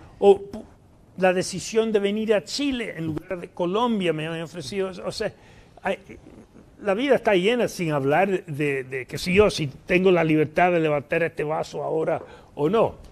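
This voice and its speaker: A man speaks at a moderate pace with a high pitch. His pitch variation is ordinary. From New York, US (Puerto Rican parents). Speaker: economist and professor; guest. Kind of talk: interview conversation; interview answer. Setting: live event with audience. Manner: halting, many fillers. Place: studio. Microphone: lapel.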